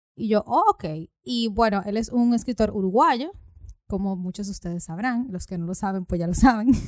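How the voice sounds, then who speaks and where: A plain, everyday voice from a woman at medium pitch, ordinary pitch variation and moderate pace, in a dry, close sound with no echo. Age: 20s. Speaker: podcast host. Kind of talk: casual chat.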